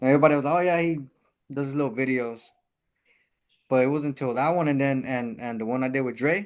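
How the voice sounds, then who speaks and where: Speaking very fast but with long, frequent pauses, a man with a fairly high voice shows ordinary pitch variation and a Spanish accent. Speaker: rapper and taco business owner. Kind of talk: casual chat.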